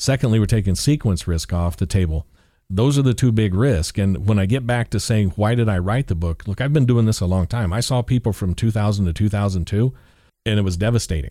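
In a very clean recording with a silent background, a man with a normal speaking voice, fairly low pitch and ordinary pitch variation talks at a fairly quick pace. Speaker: author, financial professional. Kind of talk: radio interview.

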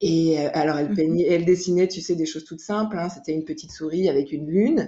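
The speaker is a woman. Ordinary pitch variation runs through her speech. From France, Jura. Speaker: illustrator. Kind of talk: casual interview. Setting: remote recording. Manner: hesitant, many fillers.

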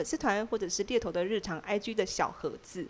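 A woman's fairly high, fairly quick voice with lively intonation, an ordinary speaking voice. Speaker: podcast co-host, workplace storyteller.

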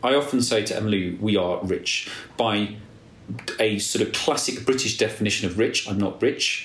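A man's somewhat breathy voice at medium pitch, with audible room echo. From England, Nottinghamshire. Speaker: podcast host. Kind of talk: casual chat. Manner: animated.

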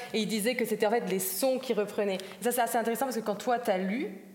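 Against noticeable background noise, a woman talks in a fairly high pitch. Her pitch varies in an ordinary way. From German-speaking Switzerland, Zurich. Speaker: writer and self-translator. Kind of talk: panel discussion. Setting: stage with audience.

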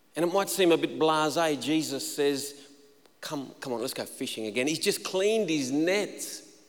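Amid audible room echo, a man with a fairly high pitch talks at a moderate pace with ordinary pitch variation. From inland New South Wales, Australia. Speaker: pastor. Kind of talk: sermon. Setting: church stage with congregation.

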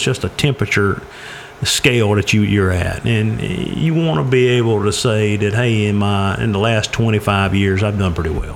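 At a fairly slow pace, a man with a fairly low pitch and ordinary pitch variation speaks over noticeable background noise. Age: 40s. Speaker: personal finance speaker. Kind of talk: casual chat.

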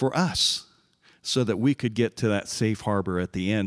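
A man's fairly low voice at a moderate pace, dry and close with no echo, on a very clean recording with a silent background. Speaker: church member, navy veteran. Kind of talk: testimony.

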